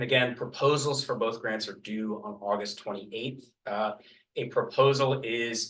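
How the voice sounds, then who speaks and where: A man at a moderate pace and medium pitch, in an unremarkable speaking voice. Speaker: clean energy program advisor. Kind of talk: presentation at town board meeting. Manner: many fillers (uh, um).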